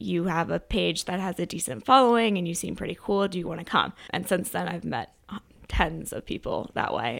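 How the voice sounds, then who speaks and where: With an American accent, a woman speaks at a moderate pace with hardly any pauses. Her intonation is lively, and her voice has vocal fry. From Maryland, US (Chevy Chase, DC area). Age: 20s. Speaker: social media creator and marketer. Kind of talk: interview conversation.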